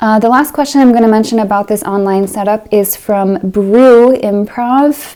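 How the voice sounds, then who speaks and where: The speaker is soft-spoken, with a dark, mellow tone and a moderate pace. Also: woman. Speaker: piano teacher and video creator. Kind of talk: casual Q&A update.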